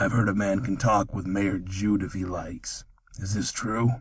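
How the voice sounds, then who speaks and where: A man puts on a raspy character voice, pitched fairly low. He talks at a moderate pace with fairly even intonation. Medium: read story. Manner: terse, dry.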